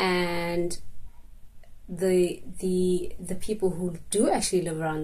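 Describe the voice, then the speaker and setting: A woman's somewhat breathy voice carries a dark, mellow tone and ordinary pitch variation. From South Africa, Cape Town township. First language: isiXhosa. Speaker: vlogger. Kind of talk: personal vlog monologue. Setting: walking and filming on the move. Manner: halting, many repetitions.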